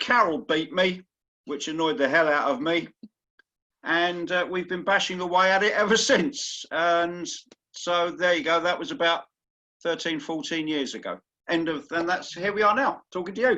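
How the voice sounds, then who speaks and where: High-pitched man with an English accent, bright, sharp tone, ordinary pitch variation and moderate pace against a quiet background. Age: 60s. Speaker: masters indoor rower. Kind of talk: interview. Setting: video call.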